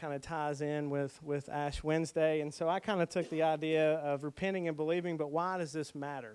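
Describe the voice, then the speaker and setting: An unremarkable speaking voice from a man, fairly high in pitch, at a moderate pace on a very clean recording with a silent background. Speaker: pastor teaching a preaching workshop. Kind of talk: workshop talk on preaching.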